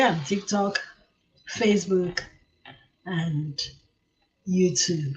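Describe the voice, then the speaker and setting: A woman speaks in a Nigerian accent with a somewhat breathy voice. Her pitch varies in an ordinary way. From southeastern Nigeria (Igbo). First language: Igbo. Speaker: livestream talk show host. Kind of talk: live stream talk show. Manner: code-switching Igbo and English.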